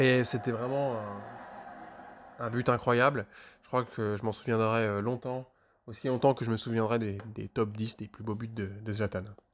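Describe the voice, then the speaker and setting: Fairly slow and with fairly even intonation, a man speaks at a medium pitch. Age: 30s. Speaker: former colleague recounting office football. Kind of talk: mock radio testimony. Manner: halting, many repetitions and hesitations.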